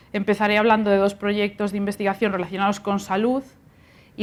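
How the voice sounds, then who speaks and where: Speaking at a fairly quick pace, a woman with a Galician accent uses a medium pitch. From Galicia, Spain. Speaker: university researcher and lecturer. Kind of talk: lecture.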